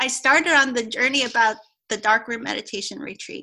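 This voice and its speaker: A woman speaks in a bright, sharp tone with a high pitch and fairly even intonation. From Hong Kong. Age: 40s. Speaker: Chinese medicine doctor. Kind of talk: casual interview.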